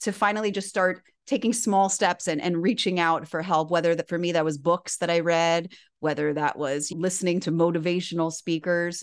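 An ordinary speaking voice, a woman talks at a moderate pace in a fairly low pitch with fairly even intonation against a quiet background. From Miami, Florida. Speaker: author and inspirational speaker. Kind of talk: interview.

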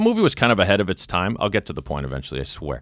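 Vocal fry runs through this man's bright, sharp tone and lively intonation. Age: 50s. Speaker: podcast host. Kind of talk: casual chat. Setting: studio.

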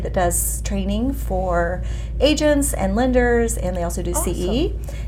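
A woman speaks at a moderate pace over noticeable background noise, with audible room echo. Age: 50s. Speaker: former sales director, meetup organizer. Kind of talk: casual interview chat.

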